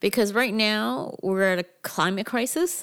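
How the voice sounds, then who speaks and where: A woman talks with an ordinary speaking voice at a fairly slow pace. Pitch variation is ordinary, and the recording is very clean with a silent background. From Canada, Toronto area (Mississauga). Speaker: cannabis business consultant. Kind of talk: casual interview.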